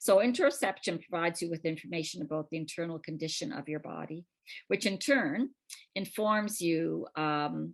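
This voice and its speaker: A woman speaks at a moderate pace in a normal speaking voice, her fairly low pitch carried by lively intonation over a quiet background. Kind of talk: lecture.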